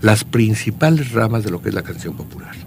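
A man talks at a moderate pace, his pitch varying in an ordinary way, while noticeable noise runs in the background. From Querétaro, Mexico. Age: 70s. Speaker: poet and songwriter. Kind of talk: radio interview.

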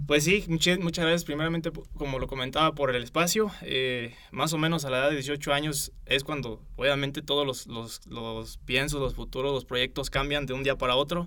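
A man with a bright, sharp tone and fairly high pitch talks at a moderate pace, with hardly any pauses. His intonation stays fairly even. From Michoacán, Mexico. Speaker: university student. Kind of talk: interview. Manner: halting.

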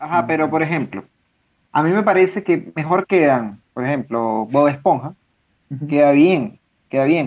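Lively intonation marks this man's fairly high voice. His pace is moderate, broken by long, frequent pauses. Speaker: podcast co-host. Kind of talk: casual chat.

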